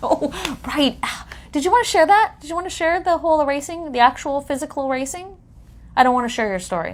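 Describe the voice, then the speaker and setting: A woman talks at a very fast pace in a high pitch, with lively intonation and big swings in loudness. There is noticeable background noise. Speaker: hypnotherapist podcast co-host. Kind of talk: casual chat.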